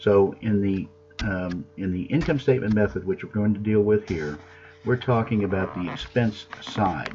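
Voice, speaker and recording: A man with a fairly low pitch and ordinary pitch variation talks while music plays in the background. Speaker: accounting professor. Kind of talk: lecture. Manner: fast.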